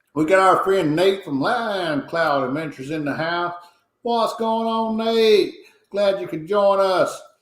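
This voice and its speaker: With audible room echo, a man speaks at a fairly slow pace in a high pitch with ordinary pitch variation. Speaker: live stream host. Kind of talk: casual chat. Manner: animated.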